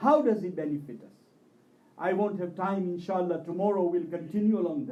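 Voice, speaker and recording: In a room with audible echo, a man with a dark, mellow tone and high pitch speaks at a fairly quick pace, his intonation lively and his loudness swinging widely. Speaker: Shia religious speaker. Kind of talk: religious majlis sermon.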